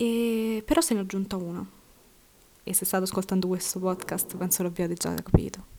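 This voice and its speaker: Speaking at a fairly quick pace with long, frequent pauses, a woman keeps a medium pitch and fairly even intonation. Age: 20s. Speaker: podcaster and university student. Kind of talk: personal monologue.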